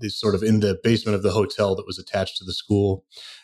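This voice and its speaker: Recorded very cleanly against a silent background, a man with an American accent and an ordinary speaking voice talks at a fairly low pitch with fairly even intonation. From US, Portland Oregon and New Jersey. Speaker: menu and wine list consultant. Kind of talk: interview.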